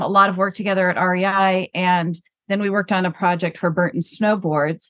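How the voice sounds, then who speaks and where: A woman speaks at a fairly quick pace in a plain, everyday voice. Her pitch is medium, with ordinary pitch variation. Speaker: brand consultant. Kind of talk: casual interview.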